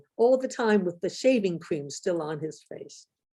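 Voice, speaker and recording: Against a quiet background, a woman with an American accent speaks at a moderate pace in a dark, mellow tone with very wide pitch swings. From USA. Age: 80s+. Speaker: professor. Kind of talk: lecture; reading aloud.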